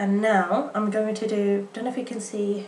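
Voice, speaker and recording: Over noticeable background noise, a woman speaks at a medium pitch and moderate pace in monotone, flat intonation. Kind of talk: casual makeup review to camera. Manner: a bit halting.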